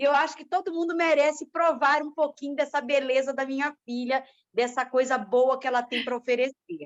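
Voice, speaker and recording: A woman's high-pitched voice at a moderate pace, with fairly even intonation. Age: 60s. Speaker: dance group participant. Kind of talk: casual chat.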